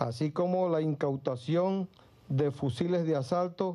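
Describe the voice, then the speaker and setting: In a dark, mellow tone, a man speaks at a very slow pace with ordinary pitch variation. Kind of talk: official press statement. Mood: formal and serious. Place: hall. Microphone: podium.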